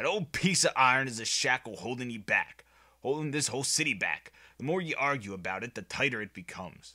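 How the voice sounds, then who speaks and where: At a fairly quick pace, a man puts on a character voice at a medium pitch, recorded very cleanly with a silent background. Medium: read story. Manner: blunt, gruff.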